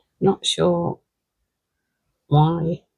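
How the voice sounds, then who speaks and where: A woman speaks with a British accent. The sound is dry and close, with no echo. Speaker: scrapbooking crafter. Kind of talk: craft tutorial. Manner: casual, conversational.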